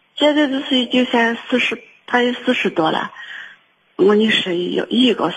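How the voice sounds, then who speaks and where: A very slow pace with very wide pitch swings. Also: woman. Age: 60s. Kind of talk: phone-in personal account. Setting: phone call. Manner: halting, with many repetitions.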